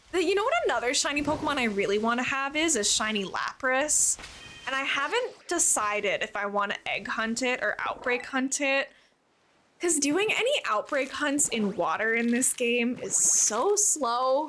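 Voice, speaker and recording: A woman projects her voice at a high pitch and a moderate pace, with very wide pitch swings. Her loudness stays very even. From Canada. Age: 20s. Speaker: streamer. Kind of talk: casual chat. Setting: live stream.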